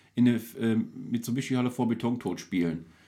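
At a fairly quick pace, a man talks in an ordinary speaking voice at medium pitch. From Duisburg, Ruhr area, Germany. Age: 40s. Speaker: local celebrity, entertainer. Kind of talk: casual chat over beers. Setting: home cellar studio.

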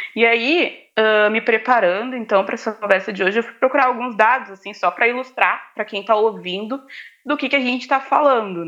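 A woman talks at a fairly quick pace and fairly high pitch with ordinary pitch variation and big swings in loudness over a quiet background. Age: 20s. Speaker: student and activist. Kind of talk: casual interview chat.

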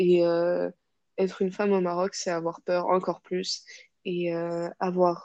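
At a very slow pace, a dark, mellow tone comes through in a dry, close sound with no echo. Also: woman. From Morocco, Casablanca. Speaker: psychology student. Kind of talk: personal testimony interview. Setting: podcast recording. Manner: hesitant, many fillers and repetitions.

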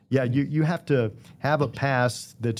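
The recording is very clean, with a silent background. A man speaks at a moderate pace with ordinary pitch variation in an unremarkable speaking voice. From Virginia, Danville. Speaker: retired TV sports director, radio host. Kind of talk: interview.

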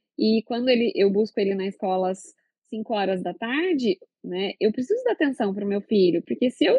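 Her voice is fairly high for a woman, an unremarkable speaking voice with lively intonation. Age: 30s. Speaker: gynecologist and obstetrician. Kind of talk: casual chat.

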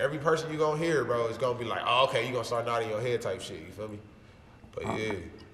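Male speech with noticeable background noise and audible echo from the room. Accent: American. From Los Angeles, South Central. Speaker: rapper. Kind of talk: casual interview. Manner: animated.

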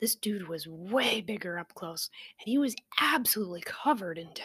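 With lively intonation, this is an unforced reading voice.

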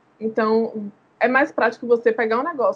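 Somewhat breathy, a woman speaks at a moderate pace in a fairly high pitch. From Salvador, Bahia, Brazil. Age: 20s. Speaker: doula and entrepreneur. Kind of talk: podcast interview.

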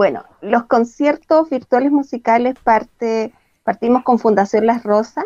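The voice has a dark, mellow tone and ordinary pitch variation, moving at a very slow pace in a dry, close sound with no echo. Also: woman. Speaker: project coordinator for elderly. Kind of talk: casual chat.

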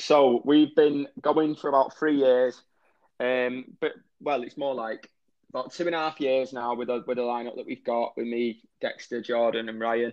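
Intonation stays fairly even as a man with a northwest English accent speaks at medium pitch. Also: moderate pace. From northwest England, Warrington. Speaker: rock musician. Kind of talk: interview.

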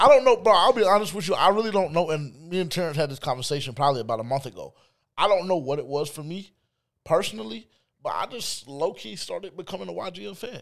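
Speech races at a very fast pace, with very wide pitch swings and big swings in loudness. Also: man, high pitch for a man. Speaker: podcast host. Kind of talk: casual sports talk. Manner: casual, profane.

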